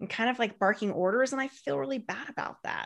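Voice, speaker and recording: A fairly high-pitched woman's voice with very wide pitch swings, against a quiet background. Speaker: marketing consultant and author. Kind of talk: interview. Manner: fast; animated.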